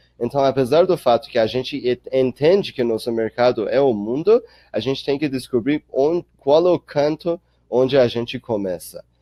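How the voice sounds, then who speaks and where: Speech moves at a moderate speed. Its pitch variation is ordinary. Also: man. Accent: non-native. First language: not Portuguese (speaking Portuguese). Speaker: startup accelerator director. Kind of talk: webinar Q&A. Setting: online webinar. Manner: halting, with fillers.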